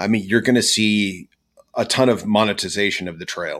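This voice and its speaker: Against a silent background on a very clean recording, the talking proceeds at a middling tempo. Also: man. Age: 40s. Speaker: kayak fishing show host and electronics installer. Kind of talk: casual chat. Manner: animated.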